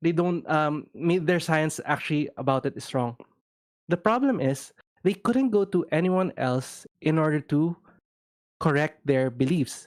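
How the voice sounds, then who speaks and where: At a fairly slow pace, the voice comes through on a very clean recording with a silent background. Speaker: co-host of discussion stream. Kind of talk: casual discussion. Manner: halting, self-correcting.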